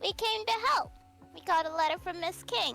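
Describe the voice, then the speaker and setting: Over clear background music, an extremely high-pitched put-on character voice speaks at a moderate pace. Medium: actual play. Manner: earnest, innocent.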